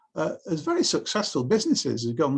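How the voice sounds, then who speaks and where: Moderate pace with a Lancashire accent over a quiet background. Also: man. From northern England (Bolton, Lancashire). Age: 60s. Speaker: author and historian. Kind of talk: interview conversation.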